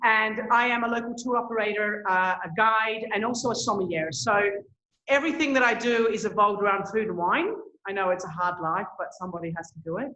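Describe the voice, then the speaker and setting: A woman speaks at a fairly high pitch in a bright, sharp tone, with ordinary pitch variation and a fairly quick pace. Room echo is audible. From Australia. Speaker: tour operator. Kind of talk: presentation.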